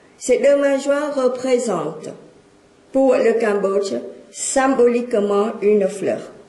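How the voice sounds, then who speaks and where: A woman at a very slow pace, ordinary pitch variation, audible room echo around her voice. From Cambodia. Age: 60s. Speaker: speaker. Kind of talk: lecture.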